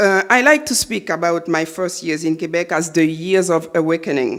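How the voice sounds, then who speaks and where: Someone with a Haitian accent speaks at a moderate pace over music in the background. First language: Haitian Creole / French. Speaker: novelist. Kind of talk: lecture. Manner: halting, many fillers.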